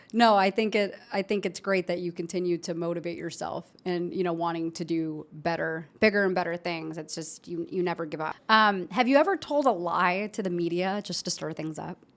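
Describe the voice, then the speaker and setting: A woman with an American accent talks at a fairly quick pace in an unremarkable speaking voice, fairly low in pitch with ordinary pitch variation. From Chicago. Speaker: podcast host. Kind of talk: interview. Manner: casual.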